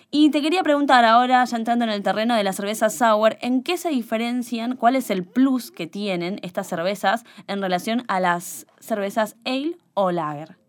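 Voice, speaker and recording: A woman with an ordinary speaking voice talks at a fairly high pitch and moderate pace, with hardly any pauses and lively intonation. The recording is very clean, the background silent. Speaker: podcast co-host. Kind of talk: casual chat.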